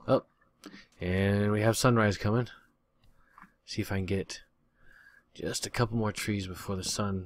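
A man with a fairly low pitch talks at a moderate pace with fairly even intonation and long, frequent pauses, in a dry sound with no echo. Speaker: gaming youtuber. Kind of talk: let's play commentary. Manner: casual, chatty. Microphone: new usb microphone, much better audio; studio mic.

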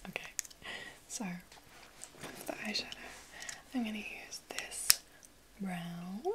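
A woman is speaking. She is whispering. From London. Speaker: ASMR content creator. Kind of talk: ASMR roleplay, chatty makeup session. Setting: close-mic home recording. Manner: soft-spoken, whispered, friendly. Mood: cheerful, excited. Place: home room. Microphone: studio mic.

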